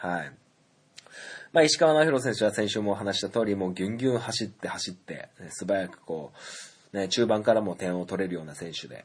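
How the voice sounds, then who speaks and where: Fairly quick and lively in intonation, a man talks at a fairly low pitch with big swings in loudness. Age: 30s. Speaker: podcast host. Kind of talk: solo casual talk. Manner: frequent filler hesitations.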